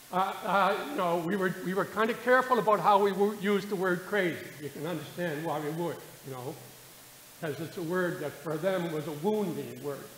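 At a fairly quick pace, a man speaks in a high pitch with ordinary pitch variation. The recording has audible room echo and light background noise. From Nova Scotia, Halifax; Nova Scotia. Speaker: retired teacher and theatre troupe founder; guest. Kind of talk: informal talk to audience. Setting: community hall with audience. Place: hall. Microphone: podium.

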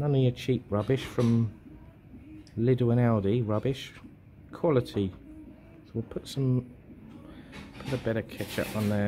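Noticeable background noise surrounds a man speaking at a fairly slow pace with fairly even intonation. He leaves long, frequent pauses. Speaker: food vlogger. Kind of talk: casual food review commentary. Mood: jovial, impressed. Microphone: phone near.

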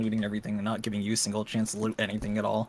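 A man talks at a very fast pace, with noticeable background noise behind him. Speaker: gaming teammate. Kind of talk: casual chat while gaming. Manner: slurred. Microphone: studio mic.

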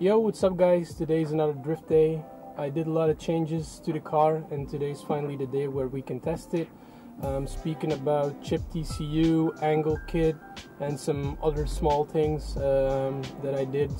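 Fairly even intonation moves at a moderate pace over clear music in the background. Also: man. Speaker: car vlogger. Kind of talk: casual vlog chat. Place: car. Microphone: phone near.

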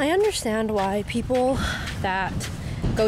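A woman's voice with ordinary pitch variation, dry sound free of echo, and music in the background. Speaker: vlogger. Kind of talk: casual vlog chat. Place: beach. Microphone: old recording.

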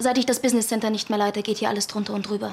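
Light background noise sits behind the recording. A woman talks with flat, monotone intonation. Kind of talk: scripted drama dialogue. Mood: composed, persuasive. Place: office.

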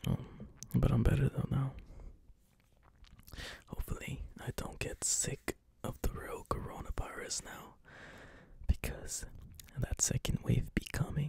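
A man whispers at a fairly slow pace in a relaxed tone, with big swings in loudness. Long, frequent pauses break up his speech. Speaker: ASMR creator. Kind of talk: ASMR casual talk to camera, soft whispering. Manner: soft-spoken, whispery, relaxed. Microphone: studio mic.

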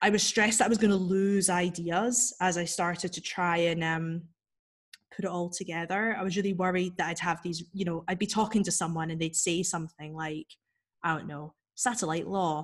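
A woman with a fairly low pitch speaks against a quiet background. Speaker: freelance writer and author. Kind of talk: casual interview chat. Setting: video call. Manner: fast talker; animated. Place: home room. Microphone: video call.

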